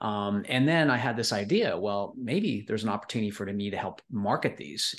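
A man with a Canadian accent has an ordinary speaking voice at a fairly low pitch. He goes at a fairly quick pace with ordinary pitch variation. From Canadian prairies. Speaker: entrepreneur. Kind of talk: interview.

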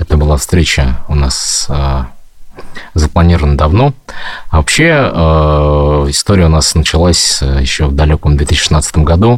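Noticeable background noise sits behind a man's very deep, low voice, which holds a very even loudness and ordinary pitch variation. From Bashkortostan, Ufa. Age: 40s. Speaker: husband of a political prisoner. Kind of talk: interview.

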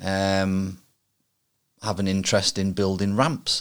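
In a very clean recording with a silent background, a man speaks at a fairly slow pace with a fairly low pitch. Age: 40s. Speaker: podcast host. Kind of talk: solo monologue. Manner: halting.

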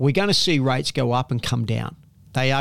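This man has a fairly high pitch. He talks with an Australian accent. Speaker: property investment author and company founder. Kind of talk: interview. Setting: in person on the Gold Coast. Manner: repetitive, stumbling restarts.

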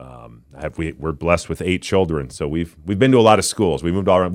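A man with an Upper Midwest accent talks at a very fast pace in a very deep, low pitch with vocal fry and ordinary pitch variation. The recording is very clean with a silent background. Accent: Upper Midwest American. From Minnesota. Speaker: former football player, political candidate. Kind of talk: political interview. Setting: studio. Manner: halting, many repetitions.

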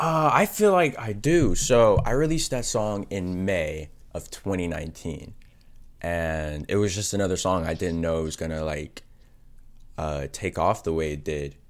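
A man's very deep, low voice in an American accent, with lively intonation at a fairly slow pace. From Texas, Arlington. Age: 20s. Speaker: rapper. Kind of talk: interview.

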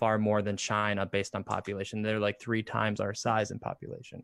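With a dry, close sound and no echo, a man speaks at a fairly quick pace in a fairly low pitch. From Indiana, US. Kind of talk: casual chat. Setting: video call live stream.

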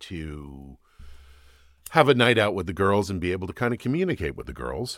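Over a silent background in a very clean recording, a man with vocal fry speaks at a moderate pace with lively intonation. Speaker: cannabis business owner. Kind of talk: casual podcast interview.

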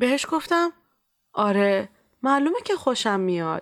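Recorded very cleanly against a silent background, a woman's voice swings very widely in pitch. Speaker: storyteller and clinic volunteer. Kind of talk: scripted narration.

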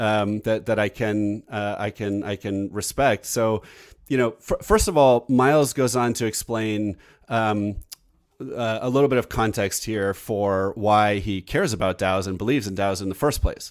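A man's normal speaking voice, fairly low in pitch with fairly even intonation at a moderate pace, in a very clean recording with a silent background. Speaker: podcast host and tech entrepreneur. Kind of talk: casual interview and news report, live recording.

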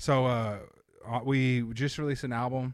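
On a very clean recording with a silent background, a man with a normal speaking voice talks at medium pitch with fairly even intonation. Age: 30s. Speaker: comedian and touring musician. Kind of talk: casual chat.

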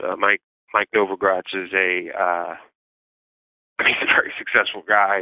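Moderately paced, a man speaks in a New York accent at a fairly low pitch. His intonation stays monotone and flat. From New York City, Manhattan. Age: 40s. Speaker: incarcerated journalist. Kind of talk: interview. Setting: phone call from prison yard. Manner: halting, many repeated words.

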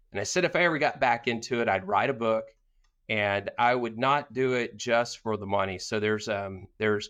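Against a quiet background, a man with a plain, everyday voice and a medium pitch speaks at a moderate pace. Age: 50s. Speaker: business owner and author. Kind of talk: interview.

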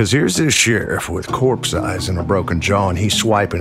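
Music plays in the background as a man speaks. His very deep, low voice moves at a moderate pace with ordinary pitch variation. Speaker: audio drama narrator. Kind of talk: western horror story narration.

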